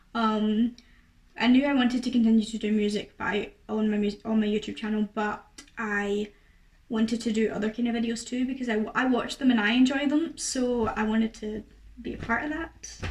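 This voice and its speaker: A woman with a fairly high pitch talks at a moderate pace in a somewhat breathy voice with fairly even intonation. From Scotland. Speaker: YouTuber and singer. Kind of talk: casual Q&A to camera. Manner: chatty, many fillers.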